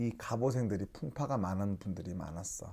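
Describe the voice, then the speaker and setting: A man with a fairly low pitch and a dark, mellow tone speaks at a moderate pace in a very clean recording with a silent background. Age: young. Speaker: shaman fortune teller. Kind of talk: fortune-telling talk to camera. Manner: casual, conversational.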